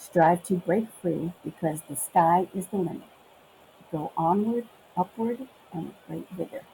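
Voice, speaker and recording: With a New York accent, this somewhat breathy voice has a dark, mellow tone and ordinary pitch variation. It moves at a fairly slow pace with long, frequent pauses and big swings in loudness. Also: woman, fairly low pitch for a woman. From Brooklyn and Long Island, New York. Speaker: customs officer turned supply chain worker, Memphis transplant. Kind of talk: casual interview chat about accents.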